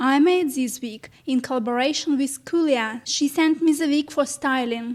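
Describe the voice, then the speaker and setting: A woman speaks at a fairly slow pace in a high voice, with fairly even intonation. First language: not English. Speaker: cosplay wig maker. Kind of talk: tutorial.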